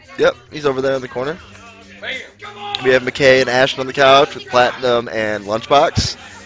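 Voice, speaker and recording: A man with a fairly high pitch and an animated tone at a moderate pace, over noticeable background noise. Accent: American. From Michigan. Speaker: livestream race commentator. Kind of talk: live commentary. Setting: live stream at a race venue. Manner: casual, animated. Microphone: single shared mic after audio issues.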